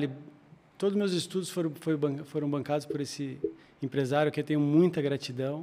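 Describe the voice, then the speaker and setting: At a very fast pace, a man speaks with fairly even intonation. His pitch is fairly high. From Joinville, Santa Catarina, southern Brazil. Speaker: lawyer and world traveler. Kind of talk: interview.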